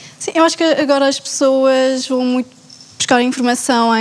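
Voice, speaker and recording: A woman talks with ordinary variation in pitch, and noticeable noise can be heard behind her. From Portugal. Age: 20s. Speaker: finance master's student. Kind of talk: panel discussion.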